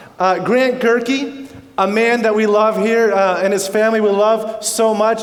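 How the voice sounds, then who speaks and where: Room echo is audible and background noise is noticeable. A man talks at a moderate pace in a high pitch. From Canada. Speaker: pastor. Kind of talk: sermon. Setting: church service with congregation. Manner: halting, with repetitions.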